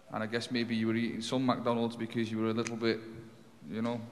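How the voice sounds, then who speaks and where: A man speaks at a medium pitch. The room adds audible echo. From UK. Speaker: journalist. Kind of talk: press conference Q&A. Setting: press conference.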